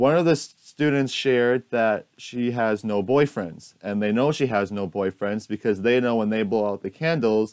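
Over a quiet background, a man talks at a moderate pace in a normal speaking voice with ordinary pitch variation. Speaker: student teacher. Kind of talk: recorded presentation. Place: home room. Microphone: earbuds.

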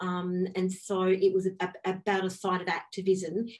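A woman is speaking. She talks with an Australian accent. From northwest South Australia. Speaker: academic and artist; presenter. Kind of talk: panel presentation. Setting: video call. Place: home room. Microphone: video call.

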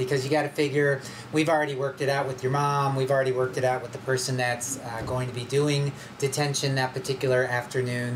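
A man's intonation stays monotone and flat, with noticeable noise in the background. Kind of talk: school announcement. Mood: friendly but firm. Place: studio.

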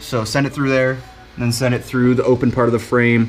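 A man talks while music plays faintly behind him. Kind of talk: casual vlog chat. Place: garage. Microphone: phone near.

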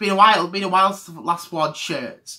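A man projects a raised voice with a bright, sharp tone against a quiet background. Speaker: vlogger. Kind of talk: casual vlog chat. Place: home room. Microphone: webcam.

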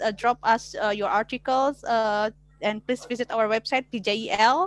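In an Indonesian accent, a woman speaks at a fairly high pitch with fairly even intonation, the sound dry with no echo. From Indonesia (West Java). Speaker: law lecturer; webinar moderator. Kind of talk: online class moderation. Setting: video call. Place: home room. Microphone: headset.

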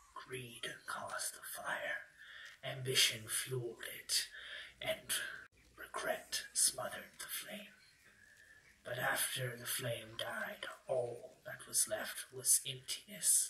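A man puts on a raspy character voice at a very slow pace, with light background noise. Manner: grim, bitter, solemn.

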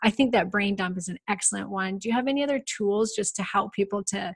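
Her delivery is fairly quick. The woman sounds somewhat breathy. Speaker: podcast host and hormone specialist. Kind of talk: interview.

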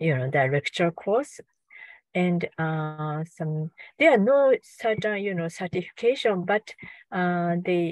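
Fairly low for a woman, her voice moves at a very slow pace with ordinary pitch variation, recorded dry with no echo against a quiet background. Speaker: visiting professor. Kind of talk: interview answer. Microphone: video call.

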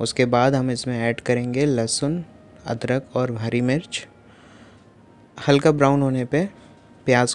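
Fairly slow and with fairly even intonation, a man speaks. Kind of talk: cooking tutorial narration. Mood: friendly, relaxed. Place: kitchen.

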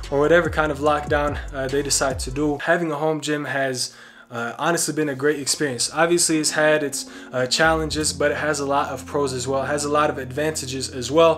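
The intonation stays fairly even, and the pace is fairly quick. Music plays clearly in the background. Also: man. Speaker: fitness vlogger. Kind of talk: casual vlog chat. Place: garage.

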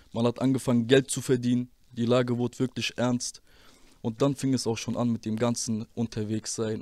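Over a quiet background, a man talks at a moderate pace in a monotone, flat intonation, with a dry sound and no echo. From Germany, Rüsselsheim (Hesse); Hesse, Germany. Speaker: former rapper; interview guest. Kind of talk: interview testimony; interview answer. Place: studio. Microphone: handheld.

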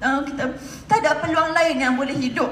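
Audible room echo and light background noise surround a woman speaking with ordinary pitch variation. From Malaysia. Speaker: direct-selling entrepreneur; speaker. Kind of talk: motivational stage talk. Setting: stage with audience. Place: hall. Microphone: pa.

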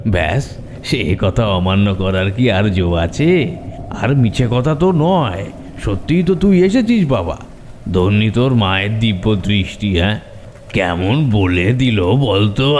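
In a cartoonish character voice, a man speaks at a moderate pace in a fairly low pitch, with clear background noise behind him. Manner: gentle, affectionate.

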